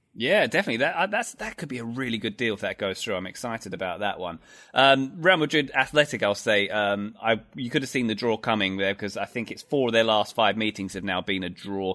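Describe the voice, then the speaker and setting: A man with an English accent talks at a very fast pace with hardly any pauses. His medium-pitched voice has a bright, sharp tone and ordinary pitch variation over a quiet background. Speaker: soccer commentator. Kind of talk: casual chat.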